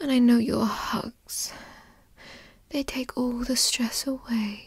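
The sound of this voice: A woman speaks slowly in a put-on character voice with a husky, rough edge. Her pitch is fairly high and her intonation fairly even.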